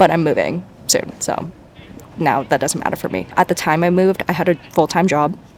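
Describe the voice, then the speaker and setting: The voice is quiet. It moves along at a fairly quick pace. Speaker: vlogger, nursing student. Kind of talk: casual vlog talk. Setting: outdoors in a park. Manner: fast.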